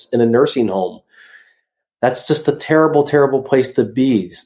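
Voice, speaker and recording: A man's medium-pitched voice, a normal speaking voice, carries ordinary pitch variation at a moderate pace. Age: 40s. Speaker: author and physique competitor. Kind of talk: interview.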